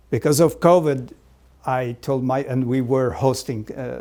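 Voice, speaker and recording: With a slight Portuguese accent, a man speaks in a dark, mellow tone. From Azores, Portugal. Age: 70s. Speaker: deacon. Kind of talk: oral history interview. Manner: fluent, conversational.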